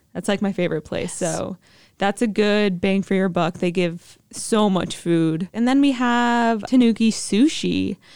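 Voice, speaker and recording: Here is a woman with an American accent and an ordinary speaking voice at a medium pitch. She talks at a fairly slow pace with ordinary pitch variation. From US Northeast, New Jersey. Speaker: college student guest. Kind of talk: casual chat.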